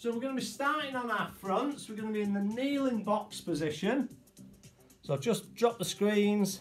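Faint music plays in the background as a man talks at a moderate pace. His voice is high in pitch with ordinary pitch variation. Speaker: fitness instructor. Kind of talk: exercise class instruction. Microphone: camera far.

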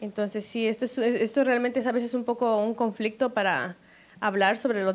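An ordinary speaking voice from a woman, fairly high in pitch, at a fairly quick pace, with very even loudness and fairly even intonation. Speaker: co-host. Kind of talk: casual chat. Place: studio. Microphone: handheld.

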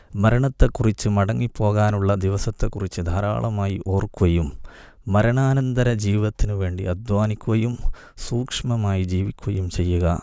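Over a very clean recording with a silent background, a man speaks in a dark, mellow tone at a fairly low pitch with ordinary pitch variation. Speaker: Islamic preacher. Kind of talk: religious talk.

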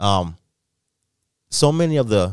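A man speaks with an American accent. The sound is dry with no echo, and the background is quiet. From Illinois, Chicago area. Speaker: podcast host. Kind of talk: morning news podcast. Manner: halting. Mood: warm, reflective. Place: studio. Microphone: studio mic.

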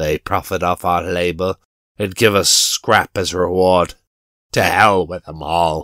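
A man puts on a raspy character voice in a very deep, low pitch, speaking at a fairly slow pace in a very clean recording with a silent background. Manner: scornful, gruff.

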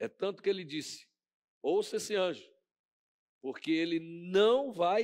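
The background is quiet. A man speaks with a high-pitched voice. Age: 50s. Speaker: pastor. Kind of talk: sermon. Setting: church. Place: church. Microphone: headset.

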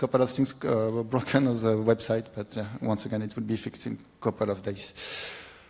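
In a French accent, a man speaks at a moderate pace with fairly even intonation. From France. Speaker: software developer. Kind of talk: conference talk. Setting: stage with audience. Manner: halting. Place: hall.

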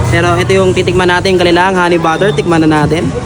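A man speaks in an animated tone. Crowd noise fills the background, and there is audible room echo. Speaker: food vlogger. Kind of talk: food review vlog.

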